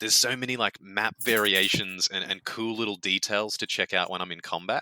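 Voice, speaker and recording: A man with an Australian accent, a bright, sharp tone and a fairly low pitch, fairly quick and with fairly even intonation, in a dry, close sound with no echo. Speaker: video game executive producer. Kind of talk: casual interview chat.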